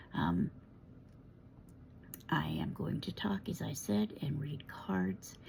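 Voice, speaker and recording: A woman with an American accent, very slow, with long, frequent pauses. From United States. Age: 60s. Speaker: tarot reader. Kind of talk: casual monologue. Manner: hesitant, frequent fillers.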